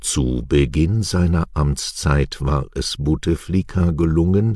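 A man with a very deep, low pitch and ordinary pitch variation speaks at a very slow pace over noticeable background noise. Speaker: news presenter. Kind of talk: news reading. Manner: clear articulation.

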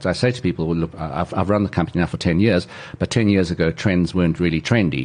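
Over noticeable background noise, a man speaks with a very deep, low pitch and ordinary pitch variation. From South Africa, Pretoria. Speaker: trend analyst. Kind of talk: interview conversation.

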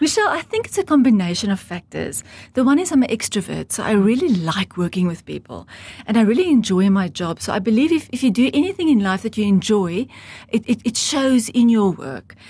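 A woman talks at a fairly quick pace over a quiet background, her fairly high pitch moving in very wide swings. Her tone is dark and mellow, and somewhat breathy. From South Africa, rural Transvaal farm (Heidelberg). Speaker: estate agent. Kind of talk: interview.

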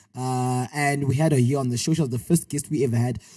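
In an animated tone, a man speaks in a somewhat breathy voice. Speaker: podcast host. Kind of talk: casual chat. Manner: animated, joking.

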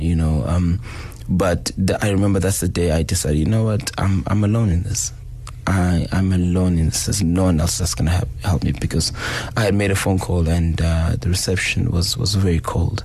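The speaker talks at a moderate pace with ordinary pitch variation. Noticeable background noise is present. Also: man, very deep, low pitch for a man. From South Africa, Durban. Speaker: hip hop DJ. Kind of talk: interview about grief. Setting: radio studio. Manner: halting.

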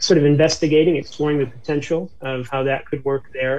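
This man's voice is somewhat breathy, with an American accent. He talks at a moderate pace. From US, upstate New York. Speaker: township church planter, pastor. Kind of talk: interview. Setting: remote call.

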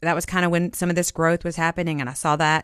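In a Southern US accent, a woman speaks at a fairly low pitch. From Jackson, Mississippi. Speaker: vice mayor, nurse practitioner. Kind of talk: radio interview.

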